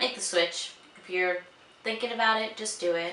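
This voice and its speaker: A mumbling woman at medium pitch with fairly even intonation, plus audible room echo and noticeable background noise. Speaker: beauty and lifestyle vlogger. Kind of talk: casual vlog chat.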